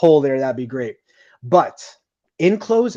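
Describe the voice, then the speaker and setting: Against a quiet background, a man with a slight New Jersey accent speaks in a dark, mellow tone with lively intonation. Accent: slight New Jersey accent in certain words. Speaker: podcast host. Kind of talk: casual interview chat. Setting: live podcast broadcast.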